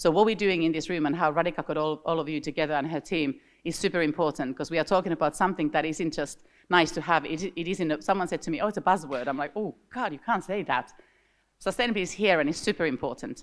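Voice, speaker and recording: A woman's fairly low voice in a Finnish accent at a very fast pace, with ordinary pitch variation, on a very clean recording with a silent background. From Finland. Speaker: industry association director. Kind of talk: conference opening remarks. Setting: stage with audience. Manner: animated.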